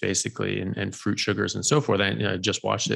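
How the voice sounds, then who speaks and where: A man talks at a very fast pace in a fairly low voice with vocal fry. The background is quiet. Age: 40s. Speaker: doctor and health podcast host; health podcast host. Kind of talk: interview. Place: home room. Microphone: studio mic.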